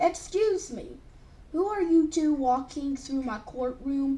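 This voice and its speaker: Using a put-on character voice, a woman with a high pitch speaks at a fairly slow pace over light background noise. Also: lively intonation. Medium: read story. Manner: blunt, dismissive.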